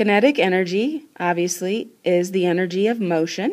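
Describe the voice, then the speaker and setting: A woman speaks in an ordinary speaking voice, medium in pitch with ordinary pitch variation. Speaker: school science teacher. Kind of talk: recorded classroom lesson. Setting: screencast recording.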